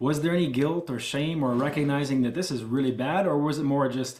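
Delivered at a fairly quick pace, a normal speaking voice carries fairly even intonation. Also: man. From Ontario, Canada. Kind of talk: casual interview.

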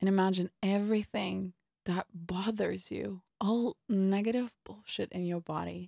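At a fairly slow pace, a woman speaks in a calm, soothing, dark and mellow tone of medium pitch, with fairly even intonation and a dry, close sound with no echo. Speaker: podcast host and meditation guide. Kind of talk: guided meditation. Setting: podcast recording, listener told to close eyes and listen. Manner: slow, calm and soothing, with unhurried pauses between instructions; soft, gentle and reassuring.

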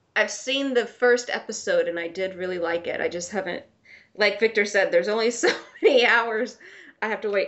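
Fairly quick female speech, fairly high in pitch, its pitch varying in an ordinary way. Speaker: podcast co-host. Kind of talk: casual chat. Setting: remote recording. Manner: giggly.

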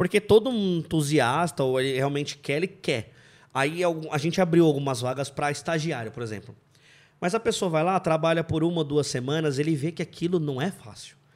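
A man with a fairly high pitch speaks in an unremarkable speaking voice at a moderate pace. His pitch variation is ordinary, and the recording is very clean with a silent background. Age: 30s. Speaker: car mechanic and engine tuner. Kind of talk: casual chat.

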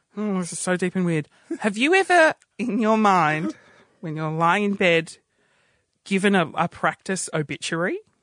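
A man with an Australian accent speaks at a high pitch in a bright, sharp tone. He takes long, frequent pauses, and the sound is dry and close with no echo. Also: ordinary pitch variation, moderate pace. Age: 30s. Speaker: radio producer and comedian. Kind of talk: casual chat. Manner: animated.

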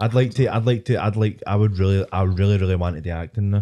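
This man speaks very fast with a Scottish accent, in a fairly low pitch with a dark, mellow tone. His intonation is fairly even, and the recording is very clean with a silent background. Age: 20s. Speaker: podcast host. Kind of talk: casual chat.

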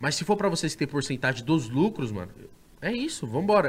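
This is a man speaking at a fairly high pitch. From Osasco, São Paulo state, Brazil. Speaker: podcaster and YouTuber. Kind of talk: casual chat. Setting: studio.

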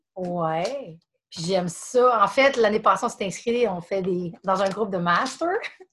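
Speaking with a Quebec accent, a woman moves at a very slow pace with ordinary pitch variation. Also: medium pitch for a woman. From Quebec, Montreal area. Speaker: CrossFit gym member. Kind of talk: casual chat.

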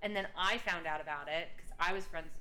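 Ordinary pitch variation marks this speech, delivered at a fairly quick pace. Audible room echo surrounds it. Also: woman. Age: 30s. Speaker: podcast co-host. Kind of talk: casual chat. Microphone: echo on recording.

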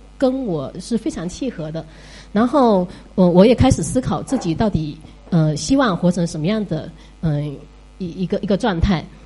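Over music in the background, a woman speaks with lively intonation. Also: medium pitch for a woman, moderate pace. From Fuzhou, China. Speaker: teacher. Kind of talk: audience talk at listener meetup.

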